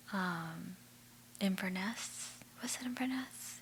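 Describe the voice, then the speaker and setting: Soft-spoken, a woman talks at a medium pitch. Noticeable background noise sits behind her. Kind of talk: ASMR magazine read-through with chit chat.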